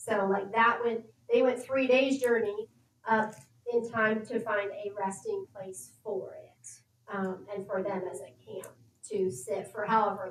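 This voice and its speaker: Fairly slow and fairly high-pitched, a woman keeps her intonation fairly even while her loudness swings a lot. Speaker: bible study participant. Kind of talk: group bible study discussion. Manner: thinking out loud, hesitant with fillers.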